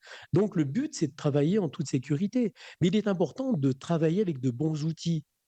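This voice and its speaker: A somewhat breathy voice with a dark, mellow tone moves at a moderate pace with lively intonation. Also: man. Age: 60s. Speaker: magnetic healer and trainer. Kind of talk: radio interview. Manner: halting, many fillers and repetitions.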